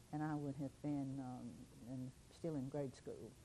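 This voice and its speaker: The woman's voice has a very deep, low pitch and a dark, mellow tone. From Simpson County, Kentucky. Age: 80s+. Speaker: local historian. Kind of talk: oral history interview. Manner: halting.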